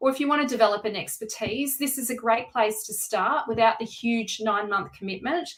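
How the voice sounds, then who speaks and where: A woman talks at a fairly quick pace, fairly high in pitch with ordinary pitch variation. Noticeable background noise can be heard. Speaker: tarot reader. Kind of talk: live-streamed tarot reading and course pitch. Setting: live stream at home. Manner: loud. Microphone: no microphone worn.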